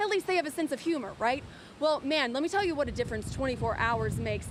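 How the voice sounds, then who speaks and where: Noticeable noise runs in the background as a woman talks. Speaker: TV news reporter and anchor. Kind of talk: live TV field report. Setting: outdoors.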